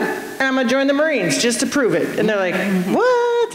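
A woman at a fairly quick pace with very wide pitch swings, audible room echo and light background noise. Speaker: state representative and Marine veteran. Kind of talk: panel discussion. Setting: stage with audience. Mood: lively, humorous storytelling. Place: stage. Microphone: handheld.

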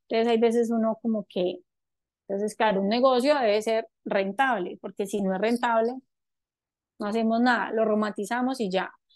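Over a quiet background, a woman speaks at a moderate pace with a fairly high pitch and fairly even intonation. The sound is dry, with no echo. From Colombia, Antioquia (paisa). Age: 30s. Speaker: entrepreneur, cosmetics company founder; guest. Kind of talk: talk to a forum audience. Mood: warm, reflective. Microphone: video call.

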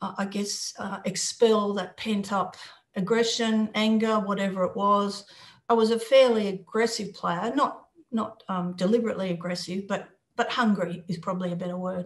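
At a moderate pace, a woman with an Australian accent speaks in a somewhat breathy voice with fairly even intonation against a quiet background. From Australia, Sydney and Newcastle. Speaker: former international footballer; interviewee. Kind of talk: interview. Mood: reflective, earnest. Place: home room. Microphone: video call.

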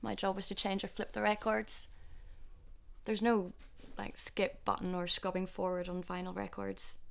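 A woman keeps a moderate pace but breaks her speech with long, frequent pauses. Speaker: actress. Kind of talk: dramatic monologue. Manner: reflective, nostalgic. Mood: warm, nostalgic, gentle. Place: shop.

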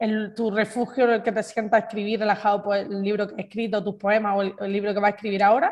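A woman speaks at a medium pitch in a flat monotone, talking very fast with hardly any pauses. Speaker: podcast host. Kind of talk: casual interview.

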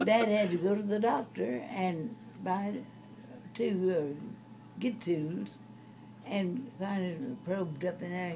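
Very slow delivery from a woman, broken by long, frequent pauses, against noticeable background noise. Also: ordinary pitch variation. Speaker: storyteller grandmother. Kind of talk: casual reminiscing interview. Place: home room. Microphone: phone near.

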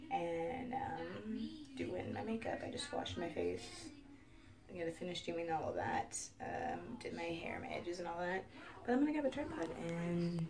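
Faint music plays in the background. Over it, a woman speaks. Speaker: beauty vlogger. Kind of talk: casual vlog chat. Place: home room. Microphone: webcam.

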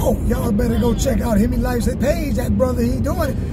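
A man talks. Behind him, music can be heard. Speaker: car channel host. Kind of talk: casual vlog chat. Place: car. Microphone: phone near.

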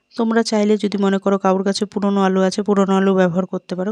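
A woman's dark, mellow tone with monotone, flat intonation, in a dry, close sound with no echo. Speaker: cooking channel host. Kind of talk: cooking tutorial. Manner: chatty, addressing viewers directly.

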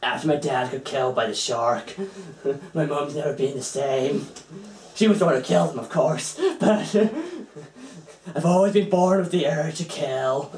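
A man performs a put-on character voice. It sits at a fairly high pitch and moves at a moderate pace. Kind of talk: amateur fan voice acting. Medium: comedy sketch. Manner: gleeful, eager, a little unhinged.

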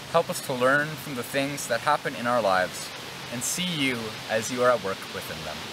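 A man talks at a moderate pace while noticeable background noise carries on. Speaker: church educator. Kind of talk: children's devotional talk and prayer. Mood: gentle, calm. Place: open country.

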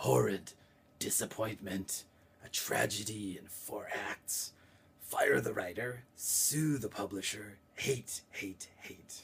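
Using a put-on character voice, a man speaks at a fairly slow pace, guttural and fairly low in pitch. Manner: disgusted, scornful.

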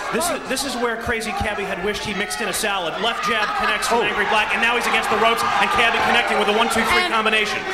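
Over crowd noise in the background, a man with a high-pitched, raised, projected voice talks at a very fast pace with hardly any pauses, his tone animated and his pitch variation ordinary. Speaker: ringside fight commentator. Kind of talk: live blow-by-blow boxing commentary; sports play-by-play commentary. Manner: animated, urgent, play-by-play delivery; dramatic, formal announcer cadence. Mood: joking. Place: stadium.

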